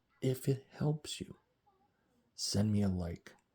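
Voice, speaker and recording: A man speaks with a fairly low pitch and a dark, mellow tone. His voice is somewhat breathy. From rural Ontario, Canada. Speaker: vlogger. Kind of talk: casual monologue vlog. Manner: talkative.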